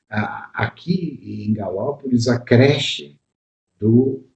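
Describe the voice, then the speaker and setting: A man's somewhat breathy voice of medium pitch with a dark, mellow tone. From southern Brazil, Caxias do Sul area (Rio Grande do Sul). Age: 70s. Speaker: pediatrician. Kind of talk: interview. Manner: hesitant, with many fillers.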